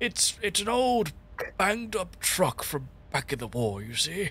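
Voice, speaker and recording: A man puts on a raspy character voice, high-pitched with very wide pitch swings. He speaks at a moderate pace over clear background noise. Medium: actual play.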